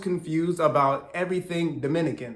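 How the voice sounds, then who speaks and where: A man with a fairly high pitch talks at a fairly quick pace in a plain, everyday voice. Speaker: Spanish language learner and YouTuber. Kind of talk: casual talk to camera.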